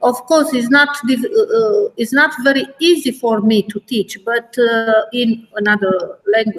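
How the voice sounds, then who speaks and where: Speaking with a Romanian accent, a woman uses a high pitch with ordinary variation, moving at a fairly slow pace with hardly any pauses. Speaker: math teacher. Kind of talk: webinar discussion. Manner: halting, many fillers.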